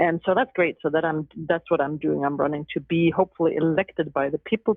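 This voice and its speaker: In a Danish accent, a woman speaks with a very deep, low pitch and ordinary pitch variation. Her pace is fairly quick. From Denmark. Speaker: law professor and judicial candidate. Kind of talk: podcast interview.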